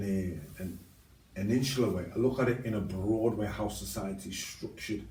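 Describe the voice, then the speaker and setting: Amid audible room echo, a man with a somewhat breathy, dark, mellow tone and fairly low pitch speaks at a moderate pace. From Liverpool, England. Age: 60s. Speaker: ex-offender interviewee. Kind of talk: interview. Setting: podcast. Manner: halting, many fillers.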